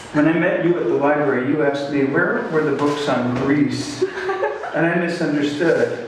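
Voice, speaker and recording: Strong room echo surrounds a man speaking at a moderate pace. There is noticeable background noise as well. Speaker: poet reading his work. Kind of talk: poetry reading at a live event. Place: hall.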